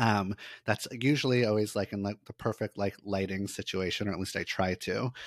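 In a very clean recording with a silent background and a dry, close sound with no echo, a man speaks at a fairly low pitch with fairly even intonation. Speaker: licensed therapist and content creator. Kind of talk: casual interview chat. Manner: fast.

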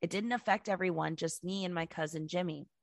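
In a normal speaking voice, a woman with a fairly low pitch talks at a fairly quick pace, captured with a dry, close sound with no echo on a very clean recording with a silent background. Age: 20s. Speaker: podcast co-host. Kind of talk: reading listener stories aloud. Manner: casual, laughing.

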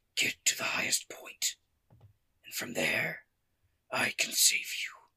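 A put-on character voice whispers at a fairly slow pace. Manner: urgent.

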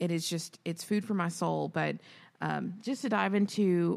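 In a very clean recording with a silent background, a woman speaks at a moderate pace. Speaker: podcast host and educator. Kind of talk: casual chat.

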